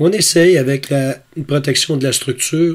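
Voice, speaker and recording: This man's voice is fairly high and somewhat breathy. He talks at a fairly slow pace with fairly even intonation. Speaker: astrophotography YouTuber. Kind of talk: tutorial.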